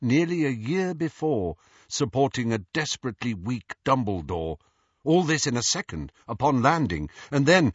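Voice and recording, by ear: Someone reads aloud in a natural voice while the background stays quiet.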